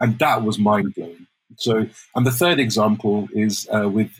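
The man's voice sits at a medium pitch and sounds somewhat breathy. His pitch varies in an ordinary way. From Wales. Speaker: immersive strategist and storyteller. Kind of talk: interview conversation.

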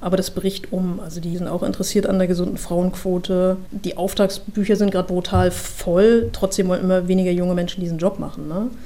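A woman's fairly quick, monotone, flat delivery at a medium pitch, against noticeable background noise. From Mecklenburg-Western Pomerania, Germany. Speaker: procurement manager. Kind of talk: interview.

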